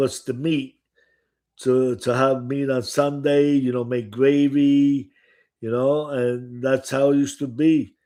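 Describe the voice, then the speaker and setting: A man with a dark, mellow tone speaks at a fairly high pitch and fairly slow pace. His intonation stays fairly even on a very clean recording with a silent background. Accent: strong Italian. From Italy. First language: Italian. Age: 70s. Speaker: restaurant owner and author. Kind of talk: casual chat. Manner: halting.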